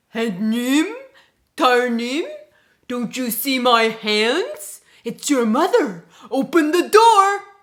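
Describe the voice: Putting on a character voice, a woman speaks slowly at a high pitch with a fairly bright tone and lively intonation.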